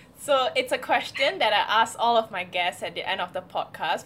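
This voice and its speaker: Here is a woman with an ordinary speaking voice and lively intonation. She keeps a moderate pace. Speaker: podcast host. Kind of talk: casual interview chat. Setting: video call.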